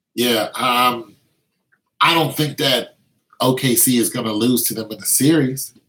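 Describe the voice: Fairly slow and fairly even in intonation, a man speaks at a medium pitch. His tone is fairly bright with a slightly husky edge.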